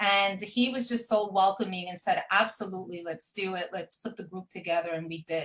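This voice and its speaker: With a New York accent, a woman talks at a moderate pace. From New York, Brooklyn. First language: Spanish. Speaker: event professional, community group founder. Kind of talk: radio talk show interview. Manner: hesitant fillers.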